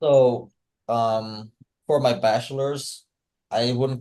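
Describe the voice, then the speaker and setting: The man's voice carries a dark, mellow tone. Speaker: civil engineer. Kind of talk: casual podcast interview. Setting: video podcast. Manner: hesitant, many fillers.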